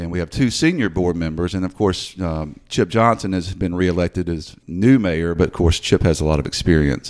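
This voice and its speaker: A man with a Mid-South US accent and a very deep, low pitch, at a moderate pace with ordinary pitch variation and hardly any pauses. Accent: Mid-South US Southern. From Memphis, Tennessee (Whitehaven area). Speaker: city attorney. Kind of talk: interview. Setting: studio.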